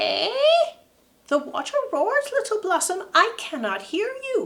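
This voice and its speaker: In a put-on character voice, a woman squeaks at an extremely high pitch with very wide pitch swings, speaking at a fairly slow pace. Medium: read story. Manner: brisk, scolding.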